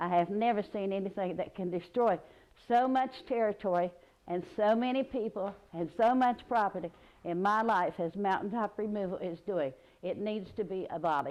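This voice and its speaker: A woman with an Appalachian accent speaks at a moderate pace with ordinary pitch variation. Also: medium pitch for a woman. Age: 70s. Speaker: local resident. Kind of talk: interview testimony.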